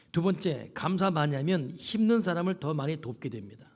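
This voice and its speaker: A man talks in a high voice. Audible echo from the room surrounds it. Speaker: pastor. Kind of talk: sermon. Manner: animated.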